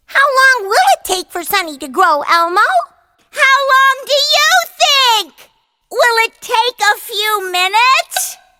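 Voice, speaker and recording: A put-on character voice, female-sounding and squeaky, extremely high in pitch for a woman, at a fairly slow pace. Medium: stage play.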